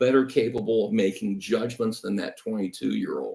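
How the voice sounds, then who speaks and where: With lively intonation and an unremarkable speaking voice, a man talks at a moderate pace and a medium pitch. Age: 60s. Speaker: congressional candidate. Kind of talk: live panel discussion.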